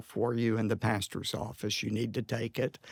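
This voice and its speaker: An ordinary speaking voice with an American accent at a moderate pace, in a very clean recording with a silent background. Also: man. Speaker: pastor and preacher. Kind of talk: personal anecdote in a conversational interview. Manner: emotional, reflective storytelling.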